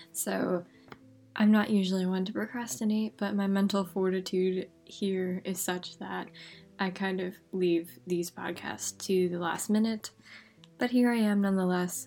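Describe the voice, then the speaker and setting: Soft-spoken woman at a fairly slow pace with fairly even intonation, music in the background. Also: medium pitch for a woman. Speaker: podcast host. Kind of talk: casual podcast monologue. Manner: soft-spoken, quiet.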